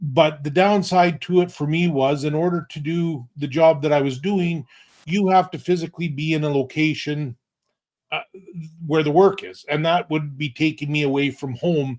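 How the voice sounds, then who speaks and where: A man with a western Canadian accent, fairly high pitch, fairly even intonation and a moderate pace. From Alberta, Canada. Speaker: online business owner. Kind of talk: interview. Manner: halting.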